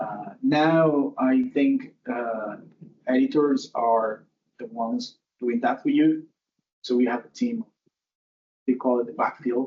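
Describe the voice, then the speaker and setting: A man is talking. He speaks with a Spanish accent. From Costa Rica. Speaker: newspaper graphics editor. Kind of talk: Q&A after a talk. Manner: halting.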